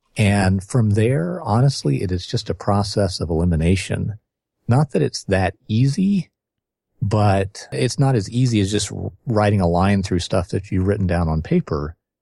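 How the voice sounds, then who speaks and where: With a dark, mellow tone and lively intonation, a man speaks at a moderate pace, somewhat breathy, in a dry, close sound with no echo and a quiet background. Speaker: author and marketing consultant. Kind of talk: casual podcast interview.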